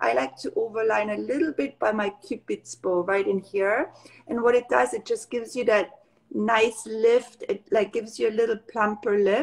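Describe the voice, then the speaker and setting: A woman talks with a German accent against a quiet background. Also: moderate pace. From Austria, Tyrol near Kitzbühel; Tyrol, Austria. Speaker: makeup artist and brand founder. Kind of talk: casual interview. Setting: live video call. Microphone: video call.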